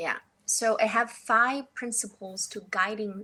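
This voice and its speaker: A woman speaks with a Chinese accent and ordinary pitch variation. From northeast China. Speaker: entrepreneur, podcast guest. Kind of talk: casual interview conversation.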